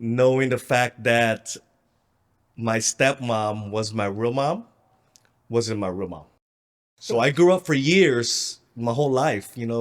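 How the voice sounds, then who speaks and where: On a very clean recording with a silent background, a man with an American accent and medium pitch speaks very slowly with ordinary pitch variation and long, frequent pauses. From Philippines, then Southern California from 16. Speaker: real estate investor. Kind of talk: interview.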